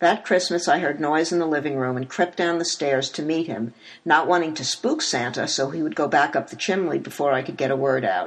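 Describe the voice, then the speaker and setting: The speaker talks at a fairly quick pace in an American accent, with hardly any pauses. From US Northeast (Elizabeth, New Jersey). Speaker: memoir author. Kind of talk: reading aloud.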